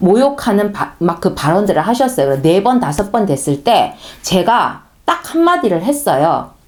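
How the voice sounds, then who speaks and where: The speaker has a strong Gyeongsang accent. The pace is moderate. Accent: Gyeongsang dialect, strong pronunciation. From Gyeongsang region, South Korea. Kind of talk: sermon-style talk. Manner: conversational, storytelling.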